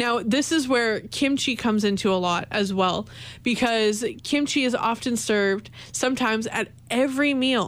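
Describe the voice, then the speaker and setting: At a moderate pace, a woman speaks in a normal speaking voice, fairly high in pitch, with ordinary pitch variation and very even loudness. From Canada. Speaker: college radio host. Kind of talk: solo radio talk show.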